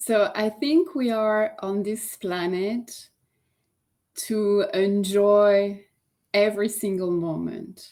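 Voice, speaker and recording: In a French accent, a woman at medium pitch speaks at a very slow pace on a very clean recording with a silent background. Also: ordinary pitch variation. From France. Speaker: yoga teacher and life coach. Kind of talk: interview.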